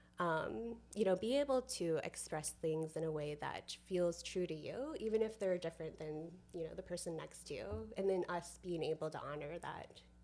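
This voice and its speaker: Soft-spoken and fairly low-pitched, a woman talks at a moderate pace with lively intonation. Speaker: community builder. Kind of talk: podcast interview. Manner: quiet.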